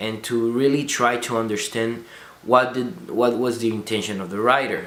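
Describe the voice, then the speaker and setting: A man's medium-pitched voice with a non-native accent and fairly even intonation, plus audible room echo and noticeable background noise. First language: not English. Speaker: film student. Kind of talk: video blog reflection. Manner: halting, many restarts.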